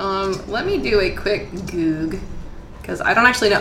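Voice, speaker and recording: A woman speaks at medium pitch and a moderate pace. Noticeable background noise runs behind her. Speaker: dungeon master and podcast host. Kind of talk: tabletop role-playing game podcast, casual and improvised. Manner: casual, self-deprecating, laughs often.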